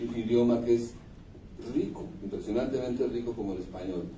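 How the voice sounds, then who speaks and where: A man speaks with medium pitch and fairly even intonation. Room echo is audible. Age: 60s. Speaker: singer-songwriter. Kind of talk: interview. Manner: reflective, with hesitations.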